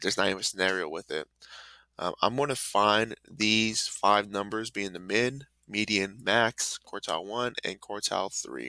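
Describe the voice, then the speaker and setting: A man's fairly low voice, bright and sharp in tone, with ordinary pitch variation, a moderate pace, and a very clean recording over a silent background. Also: dry, close sound with no echo. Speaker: math teacher. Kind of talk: classroom lesson video. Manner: casual, upbeat.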